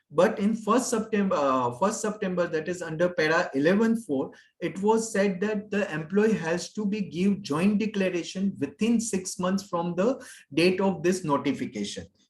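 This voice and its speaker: A high-pitched man with an Indian accent. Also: ordinary pitch variation, moderate pace. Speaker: HR consultant, pension expert. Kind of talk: webinar Q&A. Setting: online webinar. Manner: halting, many fillers.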